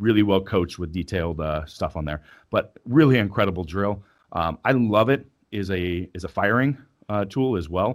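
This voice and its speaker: In a very clean recording with a silent background, a man with a plain, everyday voice speaks at a moderate pace, fairly low in pitch and with ordinary pitch variation. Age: 40s. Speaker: strength athlete and coach. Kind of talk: casual interview.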